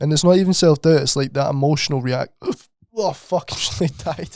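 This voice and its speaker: A man in a Scottish accent. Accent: Scottish, comments on his. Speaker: podcast co-host. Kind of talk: casual chat. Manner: animated.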